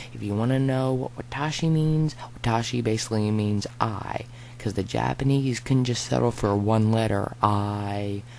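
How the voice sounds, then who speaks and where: A man talks at a moderate pace and a medium pitch, with ordinary pitch variation. Noticeable background noise can be heard. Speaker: gaming YouTuber. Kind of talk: let's play commentary. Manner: rambling, fidgety.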